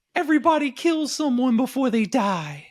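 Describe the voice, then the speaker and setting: In a put-on character voice, someone talks at a moderate pace with a high pitch. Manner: menacing, deadpan.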